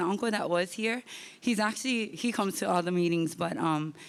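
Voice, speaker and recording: Here a woman speaks at medium pitch with ordinary pitch variation. The recording is very clean, with a silent background. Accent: Hawaiian. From Hawaii, West Kauai. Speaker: public commenter, teacher. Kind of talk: public comment at community meeting. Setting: school meeting hall with audience. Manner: halting, many fillers.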